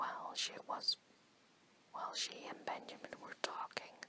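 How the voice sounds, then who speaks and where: The voice whispers at a fairly slow pace. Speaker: ASMR storyteller. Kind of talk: whispered bedtime story reading. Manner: soft, whispered, relaxing.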